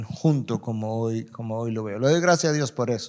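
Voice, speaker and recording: At a moderate pace with ordinary pitch variation, this is an ordinary speaking voice. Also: man. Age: 60s. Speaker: pastor. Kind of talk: panel discussion.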